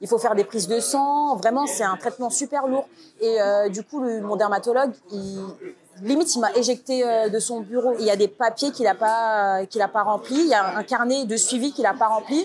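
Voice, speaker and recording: Her pitch fairly high and varying in an ordinary way, a woman speaks at a moderate pace. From Paris, France. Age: 30s. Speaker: interviewee. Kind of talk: interview. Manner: hesitant, many fillers.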